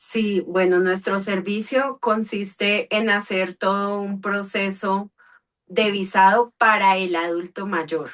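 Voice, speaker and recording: At a very slow pace, a woman talks at medium pitch with fairly even intonation. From Cali, Colombia. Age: 30s. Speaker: visa services entrepreneur. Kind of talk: interview.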